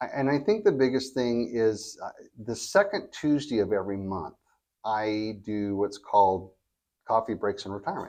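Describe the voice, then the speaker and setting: Against a quiet background, this is an unremarkable speaking voice. It keeps a moderate pace and ordinary pitch variation. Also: man, medium pitch for a man. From California. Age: 60s. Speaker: reverse mortgage specialist. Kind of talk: podcast interview.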